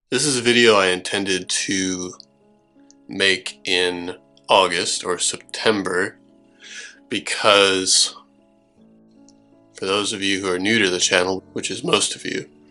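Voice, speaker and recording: With music in the background, a man with a fairly low pitch and fairly even intonation speaks with long, frequent pauses. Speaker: tabletop miniatures hobbyist. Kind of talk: casual talk to camera.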